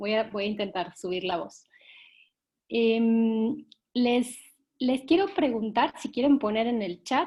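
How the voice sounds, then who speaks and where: A woman speaks at a fairly slow pace in a fairly high-pitched voice with ordinary pitch variation. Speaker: workshop facilitator for a children's organization. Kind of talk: online workshop session. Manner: soft-spoken.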